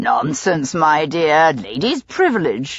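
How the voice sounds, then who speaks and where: In a put-on character voice, the speaker sounds raspy at a middle pitch and moves at a fairly slow pace. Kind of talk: Victorian upper-class speech. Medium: read story. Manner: mild, frank.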